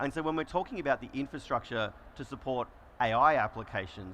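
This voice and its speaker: With an Australian accent, a man rattles through his words at a very fast pace. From Australia, Melbourne. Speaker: solutions engineer presenting a conference session. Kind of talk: conference presentation. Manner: conversational, frequent fillers.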